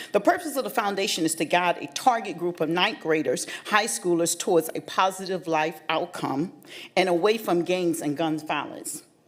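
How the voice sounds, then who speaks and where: Pitch variation is ordinary and the pace is moderate. It is an ordinary speaking voice. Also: woman, fairly low pitch for a woman. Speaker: nonprofit founder. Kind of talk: public comment speech. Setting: county board meeting.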